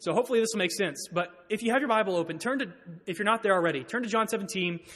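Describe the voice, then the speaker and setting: The speech goes at a very fast pace with ordinary pitch variation. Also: man, high pitch for a man. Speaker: preacher. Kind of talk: sermon. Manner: halting.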